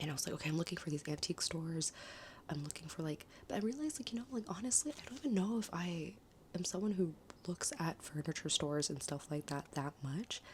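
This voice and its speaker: Lively intonation runs through this somewhat breathy voice with an American accent. The pace is very fast. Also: woman, fairly low pitch for a woman. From United States. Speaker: travel vlogger. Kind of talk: casual vlog monologue. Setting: Airbnb room. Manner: rambling, filler-heavy.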